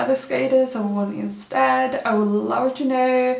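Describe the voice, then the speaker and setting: Amid noticeable background noise and audible room echo, a woman talks at a very slow pace. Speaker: figure skating commentator. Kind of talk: casual video commentary.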